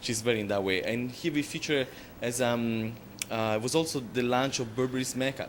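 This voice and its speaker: A man with an Italian accent speaks fairly quickly at a medium pitch with fairly even intonation. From Italy, Florence. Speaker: makeup artist. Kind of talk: interview. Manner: hesitant, many fillers.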